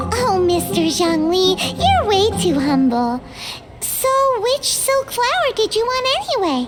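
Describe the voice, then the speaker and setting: Over loud music in the background, a cartoonish character voice at an extremely high pitch makes very wide pitch swings. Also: fairly slow pace. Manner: brash, sarcastic.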